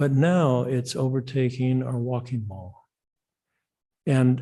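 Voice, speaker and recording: Very slowly, a man with an American accent speaks at a medium pitch, somewhat breathy. His tone is dark and mellow, his intonation fairly even. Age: 70s. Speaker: public commenter at city meeting. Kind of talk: public comment. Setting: city commission meeting.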